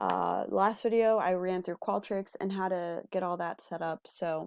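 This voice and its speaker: A woman speaks at medium pitch with fairly even intonation and a plain, everyday voice. The sound is dry and close, with no echo. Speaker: research assistant or instructor. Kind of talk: tutorial.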